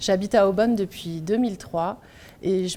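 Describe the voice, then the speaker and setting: The woman has a dark, mellow tone and a medium pitch. She speaks at a moderate pace. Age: 40s. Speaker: political candidate. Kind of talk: campaign self-introduction. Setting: video meeting recorded without audience.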